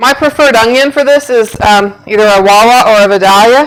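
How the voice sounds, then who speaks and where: A woman does the talking. Her pitch variation is ordinary. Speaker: home cooking video host. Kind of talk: cooking tutorial. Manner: loud.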